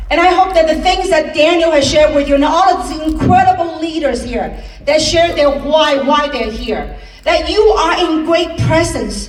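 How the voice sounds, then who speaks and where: Over noticeable background noise and audible room echo, a woman talks at a moderate pace in a high voice. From China. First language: Chinese. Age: 50s. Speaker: business leader and motivational speaker. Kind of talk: motivational speech. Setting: stage with audience. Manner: halting, with many restarts.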